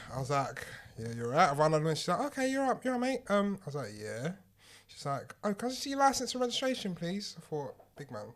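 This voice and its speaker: Speaking very fast, a man with a London accent uses very wide pitch swings. His voice sits high in pitch. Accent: London multicultural English. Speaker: podcast co-host. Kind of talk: casual chat.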